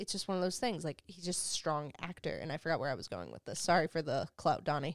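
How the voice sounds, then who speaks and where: With an American accent, a woman has a plain, everyday voice, ordinary pitch variation and a fairly quick pace, on a very clean recording with a silent background. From New Jersey (Hoboken). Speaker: production company founder. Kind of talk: casual interview chat. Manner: casual, slangy, fast-talking.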